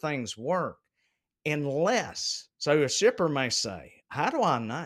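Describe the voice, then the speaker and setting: The recording is very clean, with a silent background. A man speaks at a fairly high pitch with lively intonation. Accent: Southern US. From US South, South Carolina. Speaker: logistics executive. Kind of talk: casual chat. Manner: animated.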